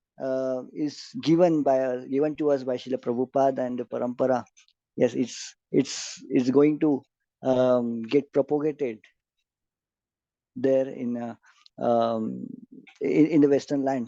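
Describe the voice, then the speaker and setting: Over a quiet background, a man with an Indian accent speaks at a fairly slow pace in a monotone, flat intonation, with a dark, mellow tone, long, frequent pauses, and a dry, close sound with no echo. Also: medium pitch for a man. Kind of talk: lecture. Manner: hesitant, many fillers.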